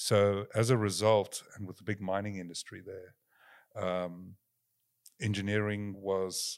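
Over a silent background in a very clean recording, a man speaks at fairly low pitch with monotone, flat intonation. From South Africa. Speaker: company founder and engineer. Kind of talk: interview.

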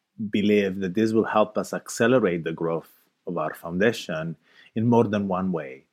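A man with an Italian accent and a fairly low pitch, ordinary pitch variation and a very clean recording with a silent background. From Italy. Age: 30s. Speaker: open source foundation leader. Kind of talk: interview conversation.

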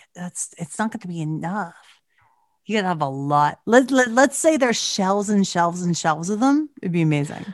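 Against a quiet background, a woman at a medium pitch talks at a moderate pace with very wide pitch swings and big swings in loudness. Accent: Canadian. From Canada. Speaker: podcast host. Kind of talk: casual chat.

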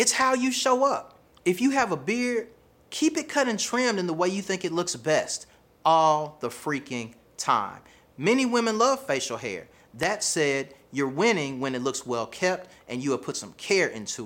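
An animated, energetic man talks in a high pitch with a Southern US accent and very wide pitch swings. The recording is very clean, with a silent background. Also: moderate pace. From US South. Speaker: relationship coach. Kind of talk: video monologue, motivational advice. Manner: animated, energetic, casual slang.

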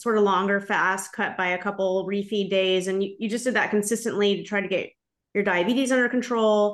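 Fairly quick pace from a woman in a normal speaking voice, medium pitch and fairly even intonation. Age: 40s. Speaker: podcast host. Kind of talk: interview.

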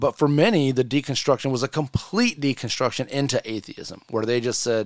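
The man has an ordinary speaking voice, fairly high in pitch with ordinary variation. He talks at a fairly quick pace. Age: 40s. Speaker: podcast host. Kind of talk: personal testimony.

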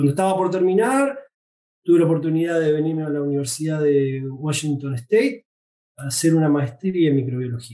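A man in a Rioplatense accent, fairly high in pitch, with a dark, mellow tone and a fairly quick pace. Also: ordinary pitch variation. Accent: Argentine (Rioplatense). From Argentina, Buenos Aires area (Tigre). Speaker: veterinary researcher. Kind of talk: interview. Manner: halting, frequent repetitions.

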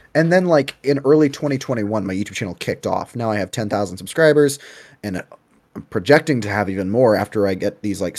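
This man talks at a very fast pace. His pitch is fairly low with ordinary variation. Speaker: content creator. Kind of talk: casual interview chat.

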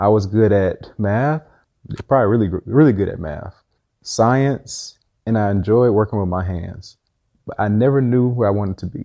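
An ordinary speaking voice belongs to a man with fairly low pitch, a moderate pace and ordinary pitch variation. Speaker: entrepreneur and car rental business owner. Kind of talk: casual interview chat.

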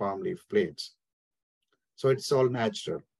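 Speaking at a moderate pace, a man has a medium pitch. His intonation is lively. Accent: Indian. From India. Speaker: small business owner. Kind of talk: interview. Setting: remote call.

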